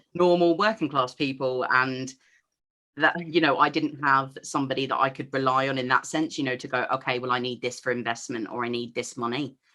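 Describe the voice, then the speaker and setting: A woman with an English accent, very deep and low in pitch, bright and sharp in tone, fairly quick, with ordinary pitch variation. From England. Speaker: entrepreneur. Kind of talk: interview.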